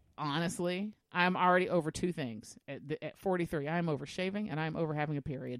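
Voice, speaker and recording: A woman's fairly low voice, a normal speaking voice, shows ordinary pitch variation. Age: 40s. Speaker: podcast co-host. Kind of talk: casual chat.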